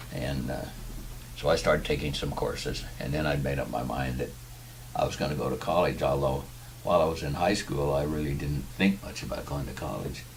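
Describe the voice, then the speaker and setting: Over noticeable background noise and audible room echo, a man with a very deep, low voice speaks with fairly even intonation. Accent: Californian. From US West Coast (Tustin, southern California). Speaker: war veteran. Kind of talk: interview.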